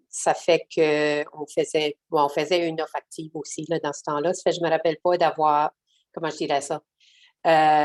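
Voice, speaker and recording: A woman speaks in a very deep, low pitch at a fairly slow pace. Her intonation is monotone and flat. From southeastern New Brunswick, Canada (Acadian). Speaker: social worker. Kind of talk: webinar panel discussion. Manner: halting, many hesitations and repetitions.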